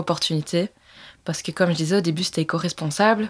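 Over a silent background in a very clean recording, a woman has a plain, everyday voice, fairly low in pitch with ordinary pitch variation. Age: 20s. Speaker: entrepreneur. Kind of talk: interview.

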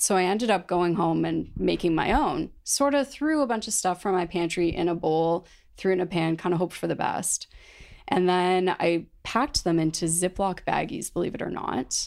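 In a plain, everyday voice, a woman with a Canadian accent speaks at a moderate pace with lively intonation and medium pitch, on a very clean recording with a silent background. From London, Ontario, Canada. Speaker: founder of a bakery and energy bar company. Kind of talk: interview.

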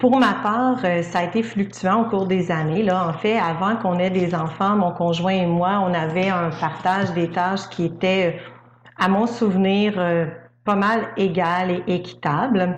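A woman at a fairly slow pace, her loudness very even, with audible room echo. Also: medium pitch for a woman. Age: 40s. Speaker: speech-language pathologist. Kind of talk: testimony.

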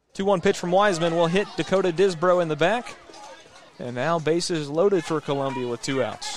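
A man talks in a high voice while noticeable noise sounds in the background. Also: ordinary pitch variation, fairly quick pace. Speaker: play-by-play announcer. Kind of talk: live sports commentary, play-by-play calling pitches and counts. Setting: radio broadcast from the ballpark. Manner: brisk, steady, matter-of-fact call of each pitch and count.

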